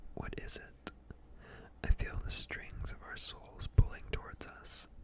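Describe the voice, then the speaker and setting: Noticeable background noise sits under a very slow whisper. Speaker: ASMR creator and poet. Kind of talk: poetry reading. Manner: slow, measured, reflective.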